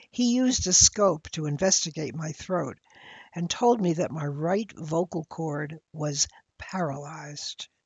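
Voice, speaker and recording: A woman talks at a fairly slow pace and a fairly low pitch, somewhat breathy. Her intonation is lively. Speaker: elder sharing life reflections. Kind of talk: personal essay narration.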